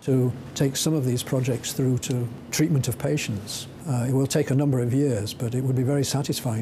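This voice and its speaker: The man's intonation is fairly even. He speaks very fast. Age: 60s. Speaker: scientist. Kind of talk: interview. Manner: halting.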